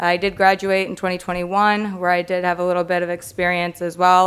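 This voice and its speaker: A woman with an American accent talks at a fairly quick pace. Her medium-pitched voice is flat and monotone. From Michigan, US Midwest (Macomb County). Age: 20s. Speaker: police officer. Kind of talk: self-introduction at public meeting. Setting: council meeting with audience.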